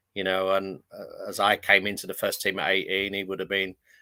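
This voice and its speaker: A man with a northern English accent, a fairly low pitch and a bright, sharp tone at a very fast pace, in a very clean, dry, close recording with no echo and a silent background. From London (Fulham). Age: 60s. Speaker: retired footballer. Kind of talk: interview.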